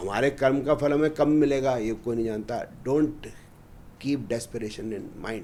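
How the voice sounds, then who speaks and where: A man speaks in a normal speaking voice. His pitch is medium, with ordinary pitch variation. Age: 60s. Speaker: astrologer. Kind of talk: podcast interview.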